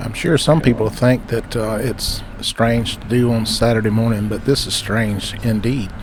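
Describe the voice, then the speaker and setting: A man with a Southern US accent speaks at a moderate pace in a relaxed tone, his medium pitch and fairly even intonation running with hardly any pauses over noticeable background noise. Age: 60s. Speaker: railfan video maker. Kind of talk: casual narration. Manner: relaxed, frequent fillers.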